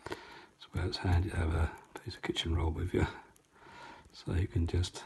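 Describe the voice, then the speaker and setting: This man has an East Anglian accent. His pitch is very deep and low, and his pace is moderate. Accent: North Essex and South Suffolk. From East Anglia, England (North Essex / South Suffolk). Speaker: painting tutor. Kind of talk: tutorial. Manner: chatty.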